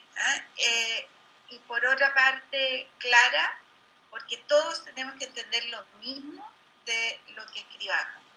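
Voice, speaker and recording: A woman's raised, projected voice, high-pitched with a bright, sharp tone, ordinary pitch variation, big swings in loudness and a very slow pace. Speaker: political candidate. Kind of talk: debate.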